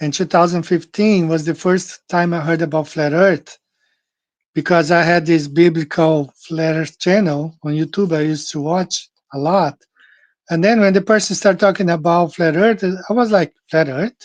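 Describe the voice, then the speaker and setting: In a Portuguese accent, a man speaks at a moderate pace in a high pitch with fairly even intonation, against a quiet background. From Brazil. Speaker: podcast host. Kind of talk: casual monologue. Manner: halting.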